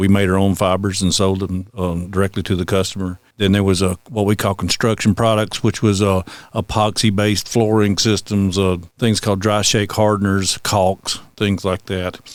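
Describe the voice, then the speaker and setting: A man in a Southern US accent, fairly low in pitch, at a moderate pace, monotone and flat, on a very clean recording with a silent background. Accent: Southern US (Georgia). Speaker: high school construction teacher. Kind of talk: interview. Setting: school. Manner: halting, many fillers.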